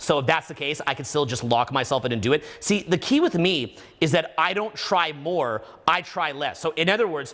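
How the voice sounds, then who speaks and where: A loud, energetic man with a fairly high pitch, a bright, sharp tone and a moderate pace. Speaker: dating and social skills coach. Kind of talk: live stream conversation. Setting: live broadcast in a room with guest.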